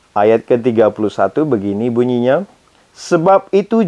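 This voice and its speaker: A man's voice at a moderate pace, with very wide pitch swings. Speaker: Bible reader. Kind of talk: reading aloud. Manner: casual, informal asides.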